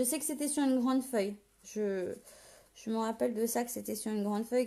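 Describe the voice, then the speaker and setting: A woman speaks at a high pitch and a fairly quick pace. Her tone is dark and mellow, with fairly even intonation. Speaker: paper craft demonstrator. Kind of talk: live tutorial. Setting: live video stream. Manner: casual, hesitant with many fillers.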